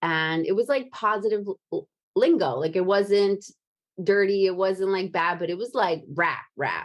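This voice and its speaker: A woman with an American accent talks at a fairly slow pace and medium pitch. She has a plain, everyday voice. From New Jersey, Brooklyn and Japan. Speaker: podcast host. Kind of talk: casual chat.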